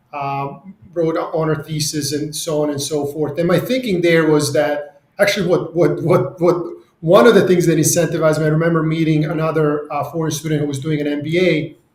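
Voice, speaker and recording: The speech moves at a fairly quick pace with hardly any pauses and fairly even intonation, and the room echo is audible. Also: man, fairly high pitch for a man. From Serbia. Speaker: real estate CEO. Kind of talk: podcast interview. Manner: halting.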